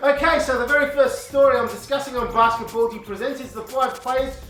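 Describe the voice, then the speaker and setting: Over music in the background and audible room echo, a man speaks at an extremely high pitch. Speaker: basketball video presenter. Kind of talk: sports commentary vlog.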